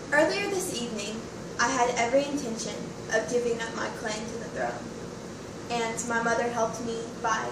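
A woman speaks at a moderate pace. Her voice carries noticeable background noise and audible room echo. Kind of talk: acted monologue. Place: home room. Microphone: camera far.

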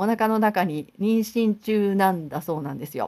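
In a very clean recording with a silent background, a woman with an unremarkable speaking voice speaks at a medium pitch and moderate pace with lively intonation. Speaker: high school teacher and pianist YouTuber. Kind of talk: casual vlog talk to camera. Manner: chatty with many fillers.

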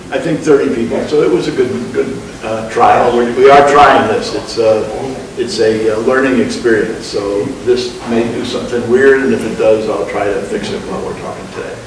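Noticeable background noise and audible room echo around speech at a moderate pace. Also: man. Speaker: presenter. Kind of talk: meeting presentation. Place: meeting room. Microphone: webcam.

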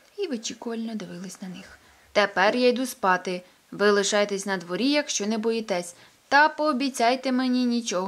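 Pitch variation here is ordinary. The speaker is reading aloud in a natural voice.

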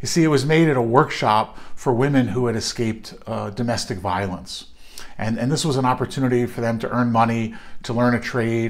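A man speaks at a moderate pace, with the background quiet. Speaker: clergy or minister. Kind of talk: devotional reflection. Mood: warm, earnest. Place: home room. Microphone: phone near.

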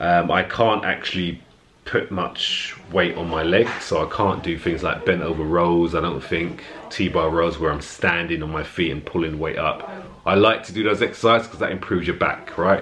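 Light background noise sits behind a man with a very deep, low pitch. He keeps a moderate pace and fairly even intonation. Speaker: fitness vlogger. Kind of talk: casual vlog chat. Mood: earnest, motivational. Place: home room. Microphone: phone near.

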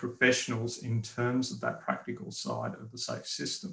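A man with an Australian accent speaks at a moderate pace in a bright, sharp tone. Audible room echo surrounds his voice. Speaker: road safety engineer and instructor; instructor. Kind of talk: webinar presentation. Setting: video call. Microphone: webcam.

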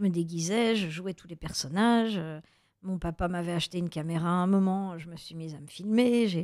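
In a very clean recording with a silent background, a woman with an unremarkable speaking voice shows ordinary pitch variation and big swings in loudness. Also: fairly low pitch for a woman, moderate pace. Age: 50s. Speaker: actress and author. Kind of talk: radio interview. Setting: radio studio.

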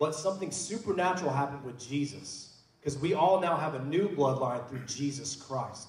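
With an American accent, a man speaks at a fairly quick pace and fairly high pitch, with ordinary pitch variation and hardly any pauses. Audible room echo surrounds his voice. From Oklahoma. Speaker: pastor. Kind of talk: church panel discussion. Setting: church. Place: church.

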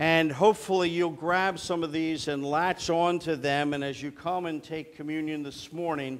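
Here a man is speaking. He keeps a moderate pace. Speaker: preacher. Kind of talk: sermon. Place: church.

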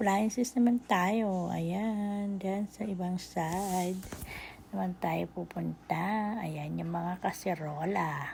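A woman speaks at a very slow pace with medium pitch. Her voice is somewhat breathy and her intonation fairly even. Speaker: vlogger. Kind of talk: shopping vlog voice-over. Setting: department store. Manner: casual, filler-heavy.

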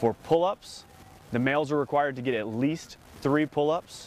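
A man speaks at a fairly quick pace with a fairly high pitch and ordinary pitch variation. The sound is dry with no echo, over light background noise. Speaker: Marine officer, company commander. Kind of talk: explanatory interview. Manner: formal, measured, informative. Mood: calm, matter-of-fact. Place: open country. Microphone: lapel.

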